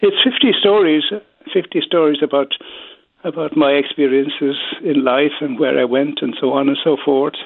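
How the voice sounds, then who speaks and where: The speaker has a Kerry accent. The pace is moderate. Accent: Kerry Irish. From Ireland, County Kerry (Killarney). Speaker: former public speaking organization president. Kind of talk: interview with storytelling.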